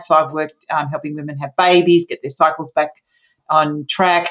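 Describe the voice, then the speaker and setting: A woman's fairly even intonation against a quiet background. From Australia, Sydney. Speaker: naturopath and menopause coach. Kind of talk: interview.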